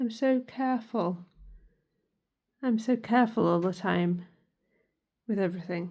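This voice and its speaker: Somewhat breathy and medium in pitch, a woman speaks at a fairly slow pace with long, frequent pauses. The recording is very clean, with a silent background. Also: ordinary pitch variation. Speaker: vlogger. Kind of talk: casual monologue. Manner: halting.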